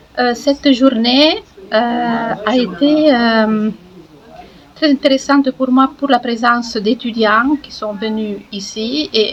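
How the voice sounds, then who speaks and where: Noticeable background noise sits behind a woman with an Italian accent. She speaks at a very slow pace with ordinary pitch variation. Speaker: film historian. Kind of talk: interview.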